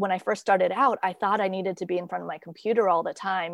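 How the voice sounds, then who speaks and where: A woman speaks in an ordinary speaking voice with a General American accent, medium pitch and fairly even intonation. Her pace is fairly quick, and the sound is dry and close with no echo against a quiet background. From US, moved around (Virginia, Minnesota, Kansas, Idaho). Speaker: creativity coach and blogger. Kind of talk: interview conversation. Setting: remote call from home.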